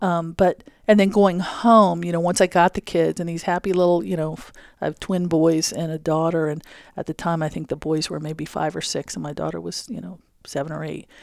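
A woman's plain, everyday voice, fairly low in pitch, with big swings in loudness, on a very clean recording with a silent background. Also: fairly even intonation, fairly quick pace. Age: 50s. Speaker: engineering association president. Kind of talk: interview. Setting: conference room.

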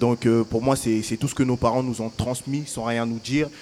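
A man talks at a fairly slow pace in a medium pitch. His intonation is flat and monotone. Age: young. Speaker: young festival participant. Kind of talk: live public radio panel chat.

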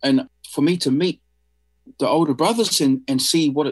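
The man has a New Zealand accent and a fairly high pitch, speaking at a fairly quick pace. The sound is dry and close, with no echo. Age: 50s. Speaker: artist. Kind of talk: interview. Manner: halting.

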